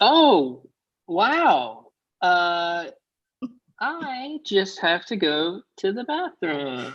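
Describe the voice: Putting on a character voice, a man talks at a very slow pace with high pitch and very wide pitch swings.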